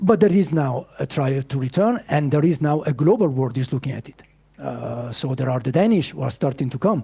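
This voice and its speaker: Talking at a fairly quick pace, a man with a fairly high pitch uses lively intonation in a dark, mellow, somewhat breathy tone. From Italy, Piedmont. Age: 50s. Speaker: startup founder. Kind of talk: pitch Q&A. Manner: halting.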